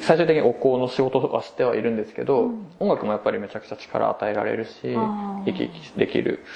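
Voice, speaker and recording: A man talks at a very fast pace with big swings in loudness over noticeable background noise. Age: 20s. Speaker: incense shop worker. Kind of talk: casual chat.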